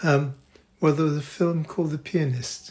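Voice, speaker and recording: Somewhat breathy and fairly high-pitched, a man talks with monotone, flat intonation. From Poland. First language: Polish. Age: 80s+. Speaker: retired doctor and artist. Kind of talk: interview answer.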